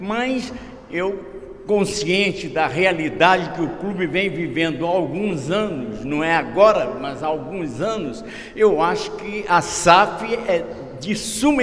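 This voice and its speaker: Noticeable background noise and audible room echo around a man's high voice, very slow in pace, with ordinary pitch variation. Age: 80s+. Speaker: club council member. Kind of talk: speech at a club council meeting. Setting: council meeting, speaking at the rostrum.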